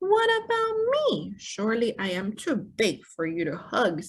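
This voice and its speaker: A put-on character voice, female-sounding, fairly high in pitch for a woman, at a moderate pace. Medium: read story.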